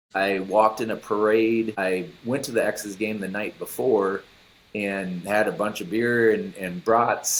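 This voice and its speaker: The speaker has an American accent and keeps a fairly slow pace. Intonation stays fairly even. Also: man, fairly low pitch for a man. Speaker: former baseball pitcher. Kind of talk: interview.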